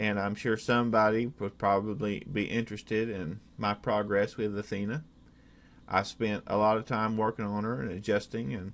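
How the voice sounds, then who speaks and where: A man with an Oklahoma accent talks at a moderate pace and a fairly low pitch against a quiet background. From Oklahoma, USA. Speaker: hobbyist programmer. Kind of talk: casual screen-recorded software demo. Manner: hesitant, many fillers.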